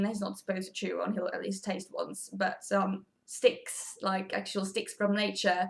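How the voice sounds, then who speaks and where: Speaking in a Swedish accent, a woman keeps to a moderate pace. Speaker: pet vlogger. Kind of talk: tutorial. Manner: casual, chatty.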